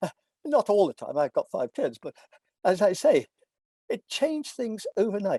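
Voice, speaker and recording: The sound is dry and close with no echo as a man speaks in an English accent. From England. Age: 80s+. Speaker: philosophy professor. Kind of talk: lecture.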